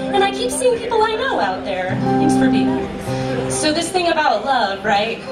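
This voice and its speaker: A woman talking at a moderate pace over loud music in the background. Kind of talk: stage banter between songs. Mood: warm, grateful, chatty. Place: stage.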